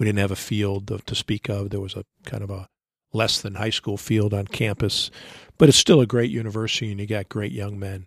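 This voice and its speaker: Using an ordinary speaking voice, a man talks at a fairly low pitch and a fairly quick pace with fairly even intonation, the sound dry and close with no echo. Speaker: baseball coach. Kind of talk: interview.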